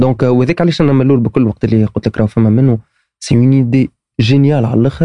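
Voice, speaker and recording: A man's dark, mellow voice at medium pitch, with ordinary pitch variation, very even loudness and a dry, close sound with no echo. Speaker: startup co-founder. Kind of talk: casual interview.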